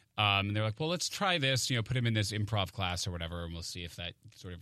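A man with an American accent talks at a very fast pace in a fairly low pitch. His tone is bright and sharp, with ordinary pitch variation. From Maine, US. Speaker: stage actor. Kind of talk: radio interview. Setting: studio.

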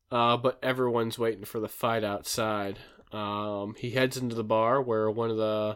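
A natural reading voice keeps a fairly even intonation.

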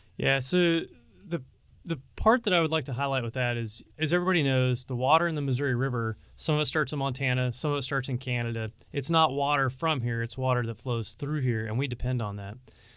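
Fairly quick, medium-pitched male speech with ordinary pitch variation. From Pacific Northwest, Washington state. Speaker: military district commander. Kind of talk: interview conversation, informational. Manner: fast talker.

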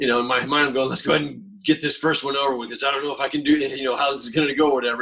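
He speaks with an American accent. The man's pace is very fast. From rural Florida. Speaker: street artist, painter. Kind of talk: casual chat.

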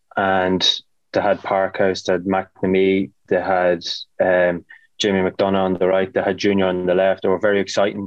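Here a man speaks with an Irish accent. His pitch is fairly low. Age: 30s. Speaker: footballer. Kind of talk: casual chat.

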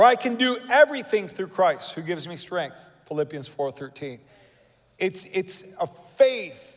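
A man with high pitch speaks at a fairly slow pace in an animated tone. His pitch swings very widely and his loudness swings a lot. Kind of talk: sermon. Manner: animated, rallying the congregation with call-and-response.

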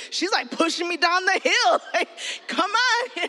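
Over noticeable background noise, the speaker uses a raised, projected voice at a moderate pace, animated in tone and lively in intonation. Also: woman. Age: 40s. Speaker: children's pastor. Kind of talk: sermon.

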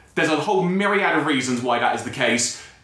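Noticeable background noise runs under this recording. A man talks at a fairly quick pace with ordinary pitch variation. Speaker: podcast host. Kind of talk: casual chat. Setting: studio. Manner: fast.

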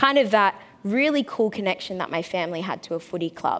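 This woman has an Australian accent. Her pace is moderate. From Australia (Brisbane). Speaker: panel moderator, former AFL player. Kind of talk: panel talk before live audience. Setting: stage with audience.

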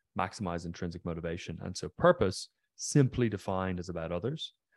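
On a very clean recording with a silent background and a dry, close sound with no echo, a man with a slight Irish accent speaks at a very deep, low pitch and a moderate pace. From Ireland, County Mayo (west coast). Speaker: neuroscience researcher and company founder. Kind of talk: interview conversation.

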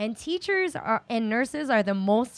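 In an American accent, a woman with an ordinary speaking voice talks at a fairly slow pace and a fairly high pitch, on a very clean, dry, close recording with no echo and a silent background. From New York City, Chinatown. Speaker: special education teacher and activist. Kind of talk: casual interview.

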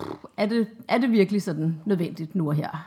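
Lively intonation in a somewhat breathy female voice. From Denmark, Copenhagen. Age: 30s. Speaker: mother of two, interviewee. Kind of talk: interview. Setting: at home.

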